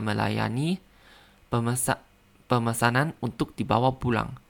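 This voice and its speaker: A man with a Thai accent speaks at medium pitch and a moderate pace, with ordinary pitch variation. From Thailand. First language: Thai (speaking Indonesian). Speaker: language learner podcaster. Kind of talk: language practice monologue; reading aloud. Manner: halting.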